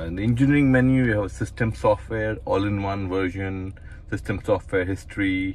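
Fairly quick and fairly even in intonation, a man speaks with a low pitch and a slightly mellow tone.

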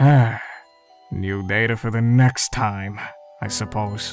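A put-on character voice comes through low in pitch at a fairly slow pace. Faint music plays in the background. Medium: dub.

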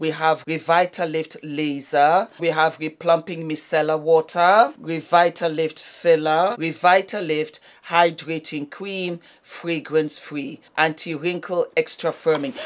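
At a fairly slow pace, a woman talks with a fairly low pitch. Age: 50s. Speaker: beauty YouTuber. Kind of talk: product unboxing. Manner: animated. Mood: upbeat, chatty.

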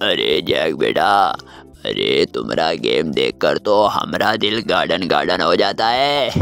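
Over clear background noise, a man does a cartoonish character voice at a moderate pace. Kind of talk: cartoon voice dub over gameplay.

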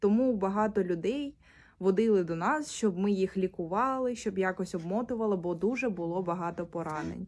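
Her pitch shows ordinary variation. The woman keeps a moderate pace. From Ukraine, Mariupol; Ukraine. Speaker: displaced person appealing for aid. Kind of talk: personal testimony and appeal. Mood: calm, subdued, serious. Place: home room. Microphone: phone near.

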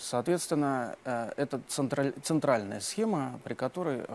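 Speaking at a fairly slow pace, a man uses lively intonation over light background noise. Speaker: university teaching assistant; conference speaker. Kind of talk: tutorial. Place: studio. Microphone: lapel.

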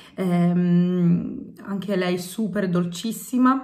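The setting is quiet. A woman talks with fairly even intonation. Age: 30s. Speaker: YouTuber, home and cleaning vlogger; home vlogger. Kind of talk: casual vlog, answering tag questions. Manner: hesitant, many fillers. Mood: warm, cheerful. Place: home room. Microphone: phone near.

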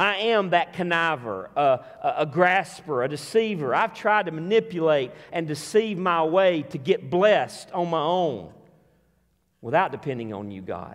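With lively intonation, a man talks at a fairly slow pace in a fairly high pitch.

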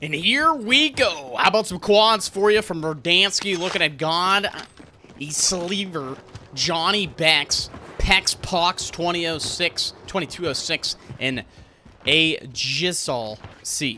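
A man's high-pitched voice, excited and energetic, with lively intonation over light background noise. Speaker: live game commentator (shoutcaster). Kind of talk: live esports-style game commentary. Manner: fast, excited, energetic. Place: home room. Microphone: studio mic.

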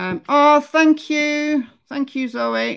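On a very clean recording with a silent background, a woman talks in a Lancashire accent. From northern England. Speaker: true crime YouTuber. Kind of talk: casual livestream commentary. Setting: livestream. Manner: chatty.

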